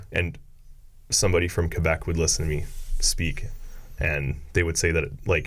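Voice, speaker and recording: A man speaks at a moderate pace in a very deep, low, monotone voice with flat intonation. Long, frequent pauses and audible room echo mark the clip. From Ontario, Canada (bilingual area). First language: French. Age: 30s. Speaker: electrician and business owner, drifter. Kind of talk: podcast interview.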